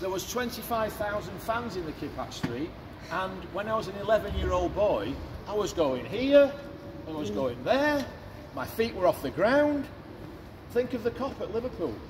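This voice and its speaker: Amid noticeable background noise and audible room echo, a man with a Mancunian accent speaks at a moderate pace and a high pitch, with very wide pitch swings and long, frequent pauses. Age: 60s. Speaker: stadium tour guide. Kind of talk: guided tour talk. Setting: stadium stands with tour group. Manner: animated.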